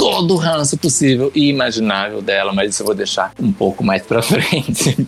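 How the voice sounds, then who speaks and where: A man speaks at a medium pitch and a fairly quick pace. Noticeable background noise runs behind him. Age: 30s. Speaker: drag queen and cosplayer. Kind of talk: casual chat.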